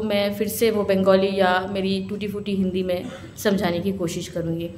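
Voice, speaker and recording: A woman is speaking. There is noticeable background noise along with audible room echo. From Kolkata, West Bengal, India. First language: Bengali (speaking Hindi). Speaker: lawyer and speaker on citizenship law. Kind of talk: public speech at a symposium.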